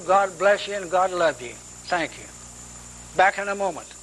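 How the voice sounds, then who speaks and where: Noticeable background noise under a man's high voice. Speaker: Bible teacher. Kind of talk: sermon.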